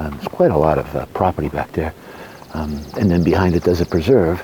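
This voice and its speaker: A soft-spoken man with a very deep, low pitch at a very fast pace, amid noticeable background noise. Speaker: homeowner vlogger. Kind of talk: casual walkthrough vlog. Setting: outdoors. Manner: hesitant, many fillers.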